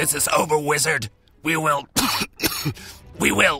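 A man's put-on character voice, fairly high in pitch, at a moderate pace over faint music in the background. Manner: menacing, creepy.

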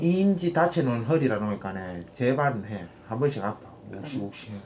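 With a Gyeongsang accent, a man talks at a moderate pace in a medium pitch with very wide swings, against noticeable background noise. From Ulsan, South Korea. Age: 20s. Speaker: trot singer. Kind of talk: casual chat with family.

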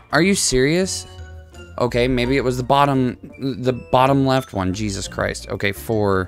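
A man at a moderate pace, with faint music in the background. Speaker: gamer streamer. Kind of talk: gameplay commentary. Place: home room. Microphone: headset.

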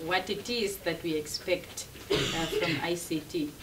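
There is noticeable background noise. Over it, a woman talks with lively intonation. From Namibia. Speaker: university lecturer. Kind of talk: lecture. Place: meeting room. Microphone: camera far.

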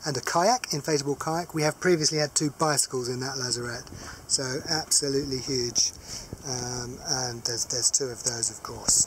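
The speech moves at a moderate pace in a dry sound with no echo, with noticeable background noise. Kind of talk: casual walkthrough tour. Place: boat. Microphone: phone near.

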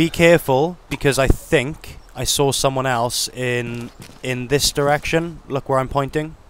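A man with a British accent speaks at a medium pitch with ordinary variation, in a dry sound with no echo and light background noise. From United Kingdom. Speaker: gaming video creator. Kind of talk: gameplay narration with roleplay. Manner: casual. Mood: calm, tactical.

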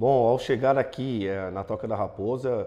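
Fairly even intonation marks a man's speech at a moderate pace. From Brazil, Santo André (ABC Paulista, São Paulo); São Paulo state, Brazil. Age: 40s. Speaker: football fitness coach. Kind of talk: interview. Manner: hesitant with fillers. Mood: calm, positive. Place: studio. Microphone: lapel.

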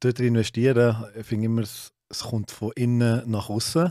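At a fairly slow pace, a man speaks in a dark, mellow tone, the sound dry with no echo. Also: quiet background. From Switzerland, Solothurn; Switzerland. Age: 30s. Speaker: CrossFit gym owner; guest. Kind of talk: casual chat. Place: studio. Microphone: studio mic.

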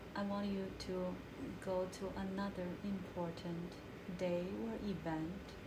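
Long, frequent pauses break up speech at a fairly slow pace, with noticeable background noise. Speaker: hypnotherapist guiding a client. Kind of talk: guided hypnosis session, past life regression. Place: home room.

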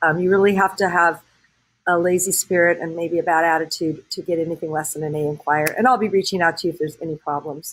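Fairly even intonation holds as the words race by at a very fast pace. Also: woman, fairly low pitch for a woman. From Southern California. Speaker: high school choir teacher; choir teacher. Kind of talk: recorded address to parents. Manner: warm, conversational with fillers. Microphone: webcam.

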